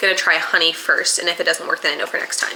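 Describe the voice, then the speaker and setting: A woman speaks over noticeable background noise. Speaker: vlogger. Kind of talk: casual vlog narration. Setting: home kitchen.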